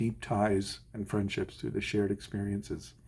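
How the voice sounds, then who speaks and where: A man speaks at a moderate pace in a fairly low pitch, with a dark, mellow, somewhat breathy tone. The recording is very clean with a silent background. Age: 60s. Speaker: orchestral musician. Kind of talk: advice monologue.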